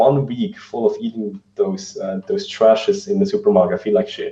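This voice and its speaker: In a non-native accent, a man speaks at a moderate pace with a dark, mellow tone that is somewhat breathy. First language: not English. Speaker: vegan fitness coach. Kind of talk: interview. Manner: halting, many fillers.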